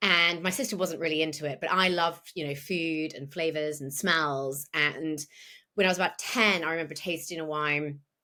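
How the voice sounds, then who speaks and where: A woman with a British accent speaks in a bright, sharp tone. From England. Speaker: wine broadcaster and educator. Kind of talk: podcast interview. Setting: remote call.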